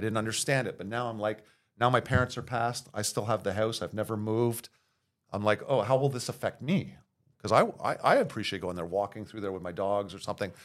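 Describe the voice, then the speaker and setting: With a Montreal accent, a man speaks very fast at a fairly low pitch with ordinary pitch variation, on a very clean recording with a silent background. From Montreal, Quebec (Verdun). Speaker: city councillor. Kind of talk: casual chat.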